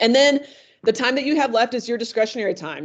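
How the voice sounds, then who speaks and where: A quiet background behind a female speaker. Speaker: tutoring center staff presenter; presenter. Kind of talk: online workshop presentation. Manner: fast. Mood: friendly, relaxed. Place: home room. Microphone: video call.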